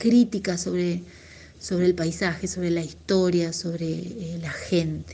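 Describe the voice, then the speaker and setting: Somewhat breathy and fairly low in pitch, a woman speaks in a monotone, flat intonation at a fairly slow pace. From Argentina, Tucumán (Tafí Viejo). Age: 40s. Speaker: singer-songwriter and music teacher. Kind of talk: interview.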